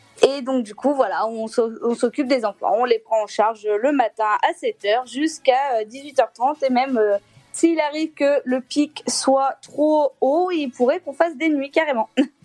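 Over background music, the speaker moves at a very slow pace with hardly any pauses and lively intonation, in a dry, close sound with no echo. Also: woman, high pitch for a woman. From Clermont-Ferrand, central France. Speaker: childcare worker. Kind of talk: casual phone-in chat.

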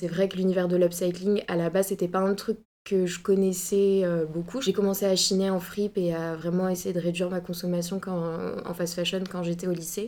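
The voice has a dark, mellow tone and a monotone, flat intonation. It moves at a moderate pace. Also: woman, medium pitch for a woman. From Bordeaux, France. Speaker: fashion student. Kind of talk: casual interview.

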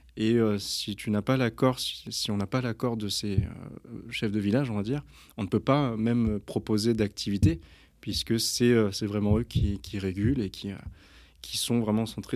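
On a very clean recording with a silent background, a man with a fairly low pitch talks at a moderate pace with fairly even intonation. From France, Versailles area. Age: 30s. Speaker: rugby coach and humanitarian association founder. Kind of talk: casual interview. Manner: halting, many hesitations.

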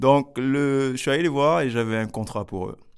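A man is heard on a very clean recording, the background completely silent. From Paris region, France (Grigny). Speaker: social entrepreneur, youth academy founder. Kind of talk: interview. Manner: halting, with repetitions.

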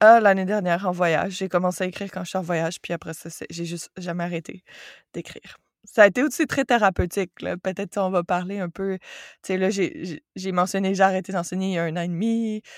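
In a dry, close sound with no echo on a very clean recording with a silent background, a woman of medium pitch talks at a fairly quick pace with fairly even intonation and big swings in loudness. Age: 30s. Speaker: yoga teacher and forestry engineer. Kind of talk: casual interview conversation.

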